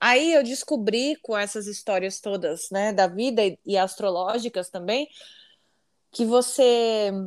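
The woman's delivery is fairly slow, yet her intonation stays lively. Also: very clean recording, silent background. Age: 40s. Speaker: singer. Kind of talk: casual chat.

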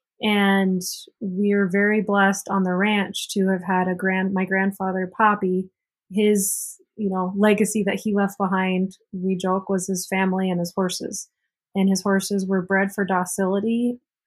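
A woman's somewhat breathy, medium-pitched voice at a fairly slow pace, monotone and flat in intonation, against a quiet background. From South Dakota, Cheyenne River reservation. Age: 20s. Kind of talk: interview.

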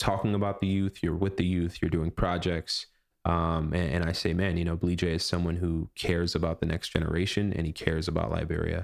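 A man speaks with an American accent in a very deep, low voice, at a fairly quick pace with fairly even intonation and very even loudness. The recording is very clean with a silent background. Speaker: podcast host. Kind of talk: casual interview chat.

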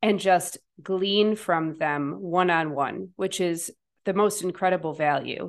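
A woman with an ordinary speaking voice, a fairly low pitch, fairly even intonation, and a fairly slow pace against a quiet background. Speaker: podcast host and coach. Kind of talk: interview.

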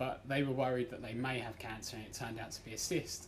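In an English accent, a man talks at a fairly quick pace amid audible room echo and noticeable background noise. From England. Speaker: amateur stand-up comedian. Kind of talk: stand-up; casual interview. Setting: comedy club stage with audience.

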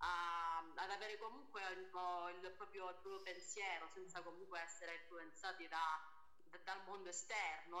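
With noticeable background noise, a woman speaks at a fairly slow pace in a fairly low voice with fairly even intonation. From Calabria, Italy. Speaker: singer. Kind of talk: casual interview chat.

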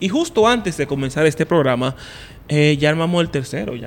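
Fairly quick and with lively intonation, a man speaks in a plain, everyday voice at a fairly high pitch. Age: 30s. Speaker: podcast host. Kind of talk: casual chat.

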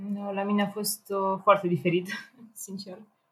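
A woman talks in an unremarkable speaking voice at a medium pitch. Her pace is moderate. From Romania, Ploiești. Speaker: engineering student and programmer. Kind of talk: casual chat.

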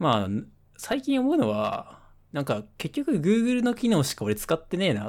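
On a very clean recording with a silent background, a man with a high pitch makes very wide pitch swings and big swings in loudness. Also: moderate pace. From Nagasaki, Japan. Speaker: podcast co-host. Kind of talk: casual chat. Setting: webcam call.

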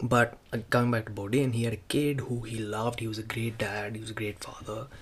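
A man speaks at a fairly quick pace with a medium pitch, a somewhat breathy quality, and monotone, flat intonation. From India. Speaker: podcaster. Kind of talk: casual monologue. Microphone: semi-professional mic.

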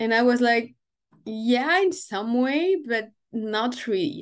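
A woman with a French accent speaks at a fairly slow pace and a fairly high pitch, her voice making very wide pitch swings against a quiet background. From France. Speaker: time management and business coach. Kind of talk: interview.

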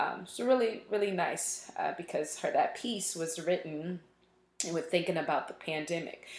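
A woman with a normal speaking voice talks at a moderate pace in an American accent. Her pitch is fairly low, with ordinary pitch variation. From Richmond, Virginia. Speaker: music professor and band director. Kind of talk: interview.

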